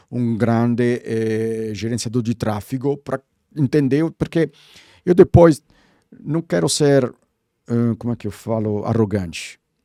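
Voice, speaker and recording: At a fairly slow pace with long, frequent pauses, a man with an Italian accent speaks in a dark, mellow tone at medium pitch with ordinary pitch variation, on a very clean, dry, close recording with a silent background and no echo. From Italy, Rome. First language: Italian (speaking Portuguese). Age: 60s. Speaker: branding consultant. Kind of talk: podcast interview. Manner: animated.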